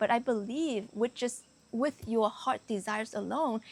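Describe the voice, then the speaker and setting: This woman has a slight non-native accent and a fairly high pitch. She talks at a fairly slow pace with ordinary pitch variation. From Canada, Vietnamese-born immigrant. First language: Vietnamese. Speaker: spiritual coach. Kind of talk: motivational talk to camera. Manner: casual with many fillers.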